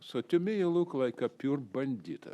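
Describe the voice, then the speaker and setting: A man with a non-native accent, lively intonation, and a fairly slow pace. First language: not English. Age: 70s. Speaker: public commenter. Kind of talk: public comment. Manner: agitated.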